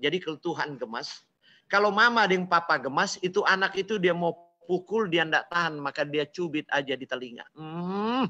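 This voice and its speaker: An animated man with a Manado accent, high-pitched, bright and sharp in tone, at a moderate pace. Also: ordinary pitch variation. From Manado, North Sulawesi, Indonesia. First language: Manado Malay (speaking Indonesian). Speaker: preacher. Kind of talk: sermon.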